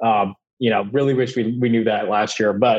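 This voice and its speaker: A man's medium-pitched voice, an ordinary speaking voice, at a fairly quick pace with fairly even intonation. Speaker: podcast co-host. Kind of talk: casual sports podcast chat.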